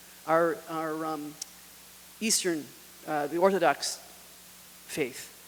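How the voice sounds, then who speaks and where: There is noticeable background noise as a man talks at a high pitch. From US Northeast, northern New Jersey. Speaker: retreat speaker. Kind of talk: retreat Q&A talk. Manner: halting.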